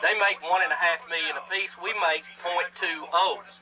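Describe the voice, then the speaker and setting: Over noticeable background noise, a man with a Southern US accent speaks at a fairly slow pace in a high voice. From Alabama. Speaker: radio host. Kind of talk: comedy sketch; casual chat.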